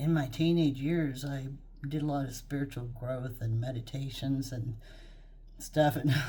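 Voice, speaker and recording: Speaking in a Texas accent at a fairly slow pace, a woman has a very deep, low pitch, a dark, mellow tone and a somewhat breathy quality. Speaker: psychic medium, YouTube creator. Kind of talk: casual talk to camera, introduction. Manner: chatty, rambling, informal.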